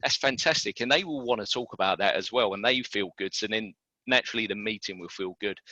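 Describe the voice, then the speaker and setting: A man's fairly low voice with a British accent and a bright, sharp tone, dry and close with no echo, against a quiet background. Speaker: recruitment consultant. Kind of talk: webinar presentation. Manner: fast.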